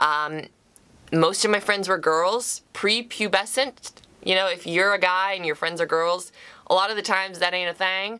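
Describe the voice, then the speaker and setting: With a bright, sharp tone, a woman talks in fairly even intonation. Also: medium pitch for a woman, moderate pace. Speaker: YouTuber and actor. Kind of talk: personal vlog. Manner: casual, conversational with fillers.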